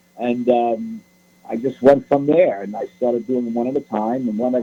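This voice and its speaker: A man speaks with a New York accent at a moderate pace. His pitch is medium. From New York City, the Bronx. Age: 70s. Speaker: author. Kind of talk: radio interview.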